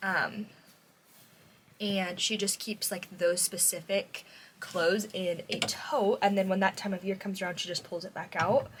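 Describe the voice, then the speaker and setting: A woman at medium pitch and a fairly slow pace, a normal speaking voice. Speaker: vlogger, mom and preschool worker. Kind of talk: casual vlog talk to camera. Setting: at home, bedroom.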